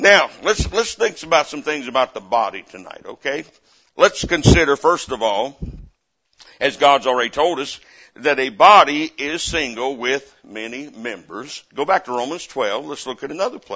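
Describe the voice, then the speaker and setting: A man with a Southern US accent at a moderate pace, fairly high pitch, lively intonation, and big swings in loudness. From US South. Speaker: missionary preacher. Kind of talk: revival-style sermon at a church Bible conference, coaxing amens from the congregation. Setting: church pulpit with live congregation. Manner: fervent and animated, punctuating nearly every point with repeated Amen; folksy and repetitive, with frequent stammered restarts.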